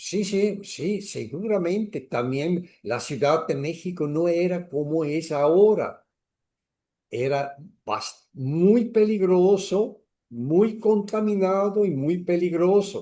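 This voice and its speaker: In a quiet setting, a man with a high pitch speaks very slowly, his pitch varying in an ordinary way. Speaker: astrologer. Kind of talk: interview. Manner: halting, many repetitions.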